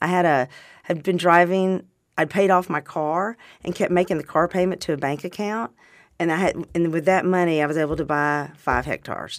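A woman speaks at a fairly quick pace with a fairly low pitch and fairly even intonation. The recording is very clean, with a silent background. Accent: Southern US. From Arkansas. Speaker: wine distributor and vintner. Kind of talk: casual interview chat. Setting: studio.

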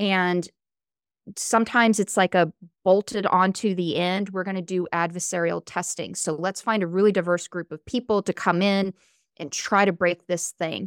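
A woman with an American accent and an unremarkable speaking voice talks at medium pitch and a moderate pace with fairly even intonation, the recording very clean and silent in the background, dry and close with no echo. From US South. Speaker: AI ethics expert. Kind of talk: interview.

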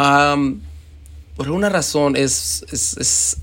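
Very wide pitch swings mark this man's voice. He speaks at a very slow pace. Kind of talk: personal reflection monologue.

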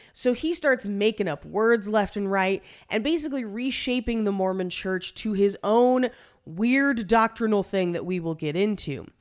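Captured in a very clean recording with a silent background, a woman uses an ordinary speaking voice, a fairly high pitch, lively intonation and a moderate pace. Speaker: podcast host. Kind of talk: casual comedic banter with scripted history narration. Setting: home recording space, echoey room. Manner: jokey, casual.

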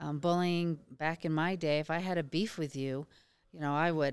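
The very clean recording has a silent background, and the speech moves at a moderate pace. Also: woman. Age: 50s. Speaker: therapist running a martial arts and mental health program. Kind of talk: interview. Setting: conference booth.

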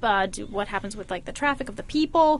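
Her voice is fairly high for a woman. The pitch moves up and down in an ordinary way. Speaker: hardware performance modeler. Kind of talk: casual chat. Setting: office. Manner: animated.

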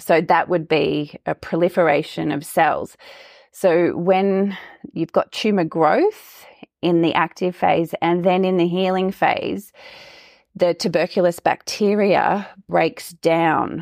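A woman with an Australian accent at a very slow pace, fairly low in pitch with fairly even intonation, in a dry, close sound with no echo. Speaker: health coach. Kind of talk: interview. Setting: remote audio call.

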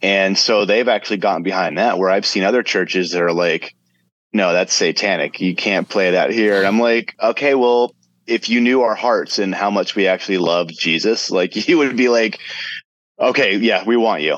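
A man speaks in an ordinary speaking voice, at a fairly low pitch with ordinary pitch variation and a moderate pace. His loudness is very even, and the sound is dry and close with no echo. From South Florida. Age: 40s. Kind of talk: casual interview.

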